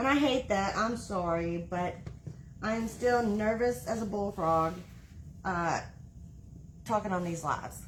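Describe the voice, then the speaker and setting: A woman with an American accent speaks at a medium pitch, somewhat breathy, with ordinary pitch variation. Her fairly slow delivery has long, frequent pauses amid audible room echo. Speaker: wreath-making crafter. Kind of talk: live-stream craft tutorial. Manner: halting, stops mid-sentence.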